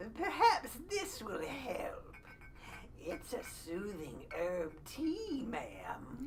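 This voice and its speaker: A woman puts on a high-pitched character voice at a very slow pace. Clear background noise can be heard behind her. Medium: audio drama. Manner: polite, deferential.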